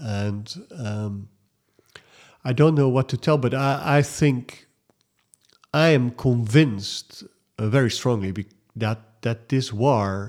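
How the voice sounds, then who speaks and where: The pace is very slow, with ordinary pitch variation. The speaker has a Dutch accent. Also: man. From Netherlands. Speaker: writer and volunteer. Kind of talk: interview. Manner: halting.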